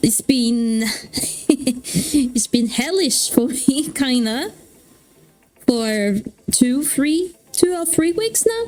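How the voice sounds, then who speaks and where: Over music in the background, a woman speaks loudly at a very slow pace, her high pitch making very wide swings. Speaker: streamer. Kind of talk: casual chat. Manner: halting.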